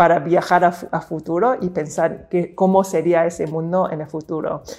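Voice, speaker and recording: At a fairly slow pace, a woman talks with fairly low pitch and fairly even intonation. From Hong Kong and Macau. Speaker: futurist and entrepreneur. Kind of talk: interview. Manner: halting, with many fillers and repetitions.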